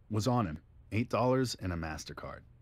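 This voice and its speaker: Putting on a character voice, a man talks at a fairly quick pace. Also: medium pitch for a man. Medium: video game. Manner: brisk, factual.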